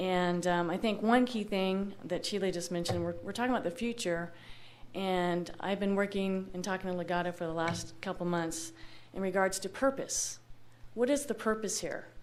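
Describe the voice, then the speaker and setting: Over audible room echo, a woman at medium pitch speaks at a moderate pace. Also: ordinary pitch variation. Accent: American. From Los Angeles area, California. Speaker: local business owner, public commenter. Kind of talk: public comment at city meeting. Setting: public meeting hall. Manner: loud.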